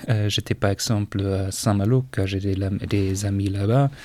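Speaking at a very slow pace, a man with a fairly low pitch talks in a German accent. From northern Germany, Schleswig-Holstein. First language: German (speaking French). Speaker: foreign language assistant at a school. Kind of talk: interview. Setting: school radio studio. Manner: halting, many hesitations.

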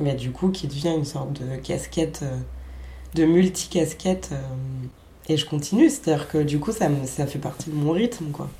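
With a very deep, low pitch and ordinary pitch variation, a woman talks at a moderate pace, taking long, frequent pauses. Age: 20s. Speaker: performance artist and radio maker. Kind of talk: casual interview. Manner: halting.

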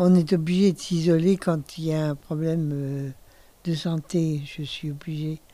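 This woman's voice has a very deep, low pitch and a dark, mellow tone. Her intonation stays monotone and flat. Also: fairly slow pace. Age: 70s. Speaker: retirement home resident. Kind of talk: interview. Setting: her bedroom in a retirement home. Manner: halting.

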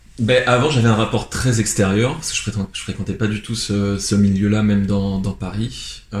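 The speech moves at a moderate pace with hardly any pauses and fairly even intonation. Noticeable background noise runs underneath. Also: man, fairly low pitch for a man. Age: 20s. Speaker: photographer. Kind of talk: interview. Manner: hesitant, many fillers.

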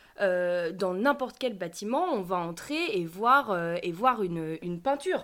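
An unremarkable speaking voice from a woman, medium in pitch, fairly slow, with lively intonation. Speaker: podcast co-host. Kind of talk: podcast interview.

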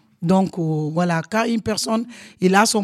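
The sound is dry and close with no echo. A woman speaks fairly slowly at a medium pitch. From Senegal. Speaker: community cook, association member. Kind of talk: live panel discussion. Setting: live event in a community house. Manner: halting.

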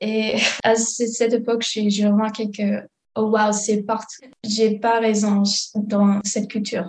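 A woman with an English accent speaks very slowly in a fairly high pitch with monotone, flat intonation. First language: English (speaking French). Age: 20s. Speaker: student. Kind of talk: testimony. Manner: halting.

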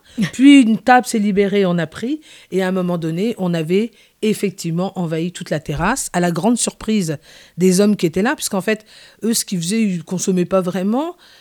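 A woman with a dark, mellow tone speaks at a fairly quick pace and medium pitch, with ordinary pitch variation. The sound is dry and close with no echo, in a very clean recording with a silent background. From Paris, Antillean parents. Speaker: community activist. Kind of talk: radio interview. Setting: on location outside the studio.

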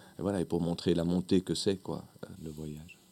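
The voice has a dark, mellow tone and fairly even intonation. Its pace is moderate. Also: man. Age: 40s. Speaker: actor and clown. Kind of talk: radio interview. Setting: radio studio.

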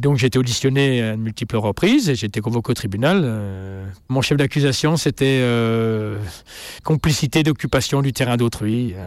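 In an ordinary speaking voice, a man talks at medium pitch and a moderate pace with ordinary pitch variation. The recording is very clean, with a silent background. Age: 50s. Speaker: farmer. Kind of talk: interview.

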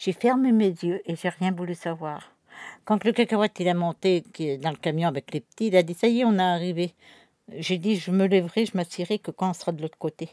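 Speaking fairly quickly, a woman has a medium pitch, ordinary pitch variation and a dark, mellow tone. The sound is dry and close with no echo, and the recording is very clean with a silent background. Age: 60s. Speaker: traveller family elder. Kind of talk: casual chat. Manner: animated.

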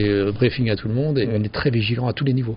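A man's medium-pitched voice at a very fast pace, with fairly even intonation over noticeable background noise. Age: 50s. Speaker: pizzeria owner. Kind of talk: interview. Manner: halting.

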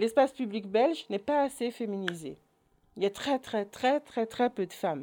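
A woman with a fairly high pitch and a dark, mellow tone talks at a moderate pace with lively intonation. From Belgium, Orval area. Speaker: association president and educator. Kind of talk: online talk. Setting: online video conference.

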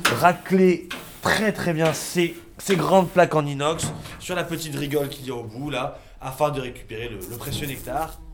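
Big swings in loudness mark this man's speech, with ordinary pitch variation. Noticeable background noise sits behind him. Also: fairly high pitch for a man, moderate pace. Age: 30s. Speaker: fly farmer. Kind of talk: casual interview.

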